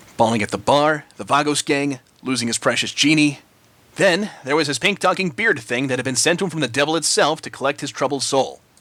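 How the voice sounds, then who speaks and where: A man speaks at a fairly quick pace in an unremarkable speaking voice. His pitch sits fairly high. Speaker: story reader. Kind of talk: fan fiction story reading.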